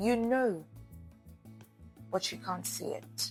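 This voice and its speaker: Over background music, a woman talks at a very slow pace with very wide pitch swings. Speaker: voice-over artist and radio/TV host. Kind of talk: faith encouragement message to camera.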